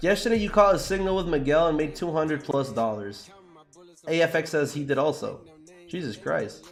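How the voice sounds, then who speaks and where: With music in the background, a man speaks at a fairly quick pace in a fairly high voice, using lively intonation and an animated tone. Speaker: forex trading livestreamer. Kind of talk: live stream chat with viewers while trading. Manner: fast; animated, casual slangy.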